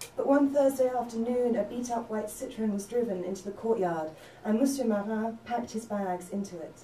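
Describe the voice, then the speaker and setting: With music in the background, a woman speaks at a moderate pace and a fairly high pitch. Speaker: novelist. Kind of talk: spoken word reading of own fiction.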